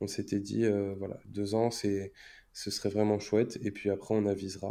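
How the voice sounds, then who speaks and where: A man with a dark, mellow tone speaks in a flat monotone at a fairly low pitch and moderate pace. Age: 20s. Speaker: stay-at-home father. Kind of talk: interview. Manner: halting.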